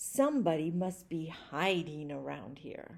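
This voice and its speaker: Someone speaks at a fairly slow pace in a growling, put-on character voice with ordinary pitch variation. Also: woman. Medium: read story.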